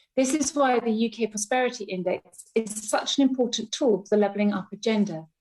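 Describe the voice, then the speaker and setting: A somewhat breathy woman's voice, fairly high-pitched with ordinary pitch variation, at a fairly quick pace. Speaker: Legatum Institute CEO and member of the House of Lords. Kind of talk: parliamentary speech. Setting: legislative chamber.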